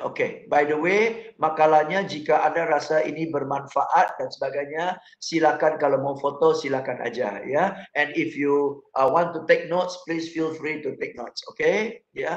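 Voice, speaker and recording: A man at a fairly high pitch and a fairly slow pace. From Singapore. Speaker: motivational speaker. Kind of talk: motivational talk. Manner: code-switching Indonesian and English.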